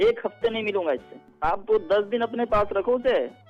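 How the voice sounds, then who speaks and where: Over music in the background, a man speaks at a high pitch and a moderate pace. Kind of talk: phone call, prank victim. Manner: emotional, then indignant.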